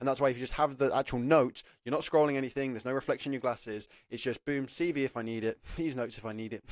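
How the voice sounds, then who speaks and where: A man talks very fast with an English accent. The recording is very clean, with a silent background. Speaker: apprenticeship careers YouTuber. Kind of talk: advice talk to camera. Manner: casual, filler-heavy.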